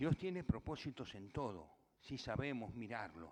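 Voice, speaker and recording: This man's fairly high voice swings very widely in pitch as he talks. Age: 70s. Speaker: pastor. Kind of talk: sermon.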